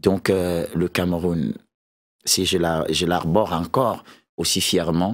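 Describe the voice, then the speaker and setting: At a very slow pace with long, frequent pauses, a man speaks with a very deep, low pitch and ordinary pitch variation in a very clean recording with a silent background. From Cameroon, centre (Akonolinga). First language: a Beti language of central Cameroon (speaking French). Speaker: musician. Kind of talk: talk show interview.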